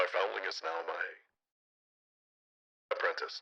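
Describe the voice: An extremely high-pitched, put-on character voice. The pace is moderate.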